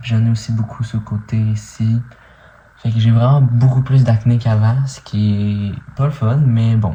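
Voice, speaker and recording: A man talks at a fairly slow pace and medium pitch. His intonation is monotone and flat. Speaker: vlogger. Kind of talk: video diary update. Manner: casual, hesitant with many fillers.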